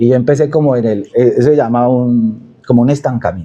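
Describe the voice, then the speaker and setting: With a Cali accent, a man speaks at a medium pitch with ordinary pitch variation. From Cali, Colombia. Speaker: storyteller and social media creator. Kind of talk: casual interview. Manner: animated storytelling.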